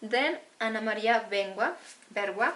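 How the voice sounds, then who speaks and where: At a fairly slow pace, a woman speaks with a bright, sharp tone at a fairly high pitch and ordinary pitch variation. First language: Spanish. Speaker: book vlogger. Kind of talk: casual book haul talk. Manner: halting.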